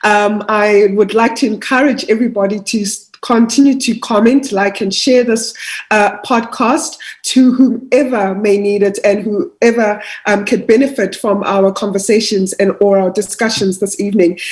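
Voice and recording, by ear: A woman at medium pitch, moderate in pace, with fairly even intonation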